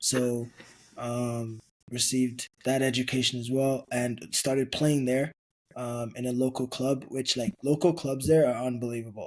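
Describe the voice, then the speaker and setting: A man speaks at a moderate pace. His medium pitch holds a monotone, flat intonation. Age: 20s. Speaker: football club executive. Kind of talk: podcast interview. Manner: hesitant, many fillers.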